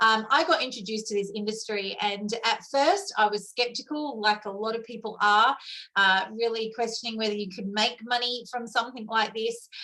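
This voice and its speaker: A woman with an Australian accent speaks at a moderate pace with hardly any pauses, her fairly high voice bright and sharp in tone, with ordinary pitch variation. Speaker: network marketing leader. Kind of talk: testimony.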